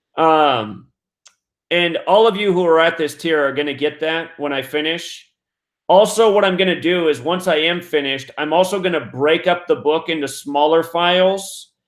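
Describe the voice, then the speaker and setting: A high-pitched man at a moderate pace with ordinary pitch variation. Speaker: numerology teacher and livestream host. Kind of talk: live stream Q&A. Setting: live stream with phone line. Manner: casual, halting.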